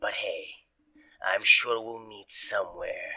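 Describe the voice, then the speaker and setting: Putting on a character voice, a man speaks raspily at an extremely high pitch and a fairly slow pace. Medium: actual play. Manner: rambling, casual.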